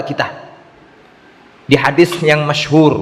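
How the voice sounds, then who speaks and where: Noticeable background noise and audible room echo surround a man. He speaks at a moderate pace. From East Java, Indonesia. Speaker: Islamic preacher. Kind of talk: religious lecture with Q&A.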